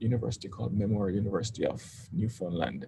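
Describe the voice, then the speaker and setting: A man with a dark, mellow tone and vocal fry talks at a fairly quick pace. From Jamaica. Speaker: vlogger. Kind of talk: personal vlog. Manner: hesitant, with fillers.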